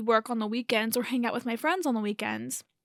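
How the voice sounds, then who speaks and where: A woman's fairly high voice has a bright, sharp tone and monotone, flat intonation. The recording is very clean, with a silent background. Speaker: podcast host. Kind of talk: casual monologue.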